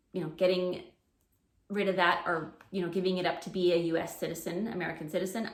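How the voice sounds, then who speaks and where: A woman with a Canadian accent at a fairly quick pace, fairly even in intonation, with audible room echo. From Canada. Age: 40s. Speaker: preschool teacher and education vlogger. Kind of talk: casual unscripted chat to camera. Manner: hesitant, many fillers.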